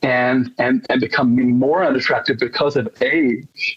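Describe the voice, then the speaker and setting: The speaker talks at a very slow pace. The voice shows ordinary pitch variation. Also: man. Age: 60s. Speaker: participant in self-inquiry session. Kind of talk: emotional personal testimony. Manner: halting, repetitive.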